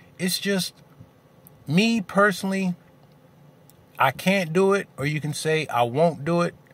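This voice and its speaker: Dry and free of echo, a man's high voice moves at a fairly slow pace. He takes long, frequent pauses. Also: ordinary pitch variation. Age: 40s. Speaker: video blogger. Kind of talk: angry rant. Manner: fired-up, indignant, blunt and confrontational. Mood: opinionated, candid. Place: car. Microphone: phone near.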